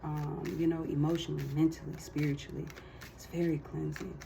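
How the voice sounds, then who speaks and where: Noticeable background noise sits under the woman's moderate-paced speech. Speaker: tarot card reader. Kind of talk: casual tarot reading monologue.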